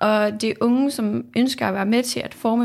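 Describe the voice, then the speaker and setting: A woman talks in an ordinary speaking voice. Her pace is fairly slow and her intonation fairly even. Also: very clean recording, silent background. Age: 20s. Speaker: political science student, youth panel member. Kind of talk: interview. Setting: studio.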